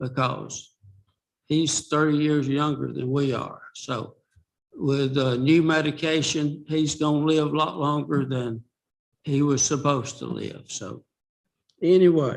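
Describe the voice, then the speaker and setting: Fairly high in pitch, a man talks at a fairly slow pace with fairly even intonation. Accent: Southern US. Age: 70s. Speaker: retired resident speaking at public comment. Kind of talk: public comment at school board meeting.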